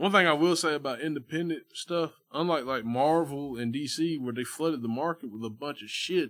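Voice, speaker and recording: With hardly any pauses, a man speaks at a moderate pace in an unremarkable speaking voice, his fairly high pitch showing ordinary variation on a very clean recording with a silent background. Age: 30s. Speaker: barber. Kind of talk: casual chat.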